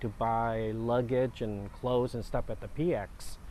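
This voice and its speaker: With a Vietnamese accent, a man talks at a medium pitch. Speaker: war refugee. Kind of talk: interview. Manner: halting.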